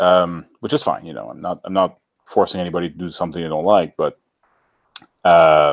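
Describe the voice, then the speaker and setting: A man with a very deep, low voice talks at a fairly quick pace with fairly even intonation, big swings in loudness, and long, frequent pauses. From French-speaking Canada outside Quebec. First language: French. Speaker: YouTuber. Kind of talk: casual chat.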